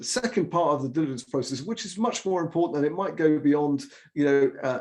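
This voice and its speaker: His intonation lively, a man speaks at a fairly high pitch. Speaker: M&A integration consultant. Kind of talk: webinar masterclass talk. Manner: fast; animated.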